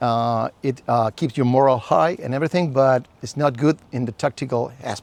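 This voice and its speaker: A man with a Chilean accent speaks with lively intonation, his dry, close sound carrying no echo on a very clean recording with a silent background. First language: Spanish. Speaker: survival instructor. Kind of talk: lecture.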